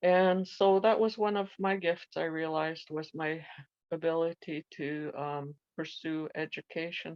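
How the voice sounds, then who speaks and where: The speaker talks at a fairly slow pace. Intonation stays fairly even. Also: woman, fairly low pitch for a woman. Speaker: residential school survivor, women's activist. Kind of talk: personal testimony. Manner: hesitant, many fillers.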